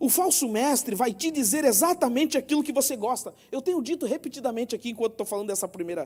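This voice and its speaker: Talking at a very fast pace, a man uses an extremely high pitch and lively intonation. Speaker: preacher. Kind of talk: sermon.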